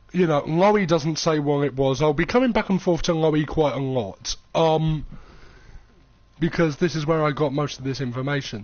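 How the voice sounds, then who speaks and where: A man with a normal speaking voice, fairly high in pitch, talks at a moderate pace with ordinary pitch variation. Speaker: gaming streamer. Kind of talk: casual live-stream commentary.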